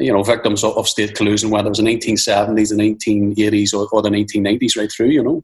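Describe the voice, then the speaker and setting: This man speaks at a fairly quick pace with a medium pitch. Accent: Northern Irish. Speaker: film director. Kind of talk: interview. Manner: halting, repeating words.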